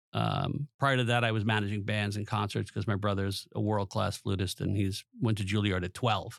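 In a New York accent, a man speaks at a fairly low pitch with monotone, flat intonation, vocal fry and hardly any pauses, in a dry, close sound with no echo on a very clean recording with a silent background. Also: moderate pace. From Long Island, New York. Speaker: teacher and former professor. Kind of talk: presentation then interview. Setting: studio.

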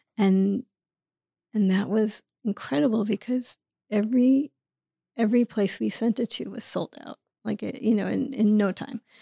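Speaking with an American accent, a woman has a dark, mellow, somewhat breathy tone at medium pitch and a moderate pace, recorded very cleanly with a silent background and a dry, close sound with no echo. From New York City, Queens. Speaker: author and producer. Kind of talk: interview conversation. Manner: halting.

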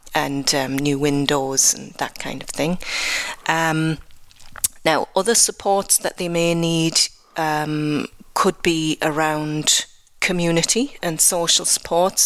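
A woman with a Geordie accent speaks very slowly in a very deep, low pitch. Her intonation stays fairly even. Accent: English (Geordie) accent noted by herself. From northeast England (Newcastle upon Tyne). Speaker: health programme manager. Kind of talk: radio interview. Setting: live radio broadcast from a cathedral.

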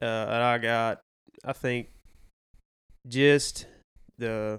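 A man talks in a Southern US accent at medium pitch with monotone, flat intonation. The recording is very clean, with a silent background. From Arkansas. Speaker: hunter and outdoorsman. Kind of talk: casual chat.

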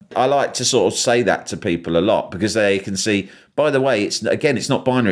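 A man with a London accent, fairly quick and with lively intonation. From London, England. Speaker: journalist and broadcaster. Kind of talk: interview.

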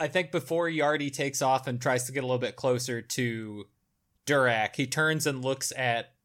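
The speaker is reading aloud in a natural voice with ordinary pitch variation. The background is quiet.

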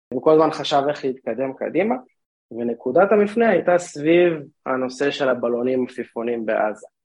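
Here an ordinary speaking voice belongs to a man at medium pitch, with lively intonation at a moderate pace. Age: 30s. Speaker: drone startup co-founder and CTO. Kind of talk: interview.

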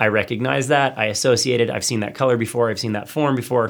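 A normal speaking voice talks at a fairly quick pace with fairly even intonation on a very clean recording with a silent background. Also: man. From US South, then Hawaii. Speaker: creative agency founder, designer. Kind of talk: casual studio interview. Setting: studio.

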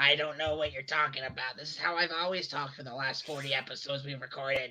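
Using a raspy put-on character voice, a man speaks very fast at a fairly high pitch. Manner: defensive, mock-innocent.

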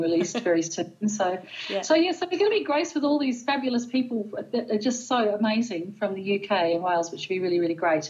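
A woman with an Australian accent, lively intonation and hardly any pauses. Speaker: podcast guest, pagan event organizer. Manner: fast talker, excitable; fast talker.

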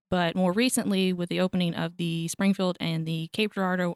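A woman speaks in a normal speaking voice at medium pitch and a moderate pace, the recording very clean with a silent background and a dry, close sound with no echo. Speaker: archivist. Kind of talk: interview. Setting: studio.

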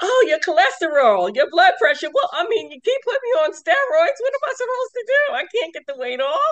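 Talking at a fairly quick pace, a woman uses an extremely high pitch with very wide pitch swings. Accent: New York. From New York, Westchester. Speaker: sarcoidosis patient and advocate. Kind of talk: interview.

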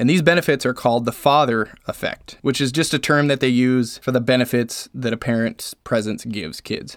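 A man's unremarkable speaking voice at a fairly quick pace, hardly any pauses, ordinary pitch variation, and a very clean recording with a silent background. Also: medium pitch for a man. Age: 30s. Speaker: podcast host. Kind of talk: casual monologue.

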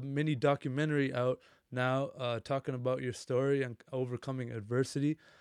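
This is an ordinary speaking voice, a man's, at medium pitch with fairly even intonation. He goes at a fairly quick pace against a quiet background. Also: dry, close sound with no echo. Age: 20s. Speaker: podcast host. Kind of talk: scripted narration; casual chat.

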